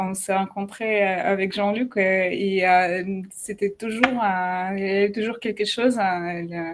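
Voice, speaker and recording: A woman with a slight non-native accent speaks very slowly in a flat, monotone way. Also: medium pitch for a woman, hardly any pauses, very clean recording, silent background. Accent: slight foreign. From Ukraine and Russia. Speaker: digital artist. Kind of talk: live video interview. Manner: halting, many hesitations.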